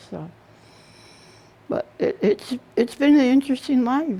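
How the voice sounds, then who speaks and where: A woman speaks at a fairly slow pace. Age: 60s. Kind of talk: interview answer.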